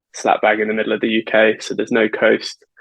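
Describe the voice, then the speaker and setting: A man with an English accent is heard in a dry, close sound with no echo. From England, Birmingham. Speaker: construction project manager. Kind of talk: interview podcast. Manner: hesitant, many fillers.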